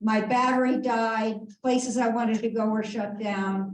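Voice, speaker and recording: A woman's fairly high, somewhat breathy voice stays monotone and flat at a fairly slow pace. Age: 70s. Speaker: audience member. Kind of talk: audience question. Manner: halting.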